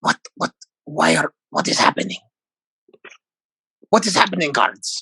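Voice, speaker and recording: A man does a put-on character voice, raspy and high-pitched, at a moderate pace with long, frequent pauses. The sound is dry and close, with no echo. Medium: actual play. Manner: halting, repetitive, odd phrasing.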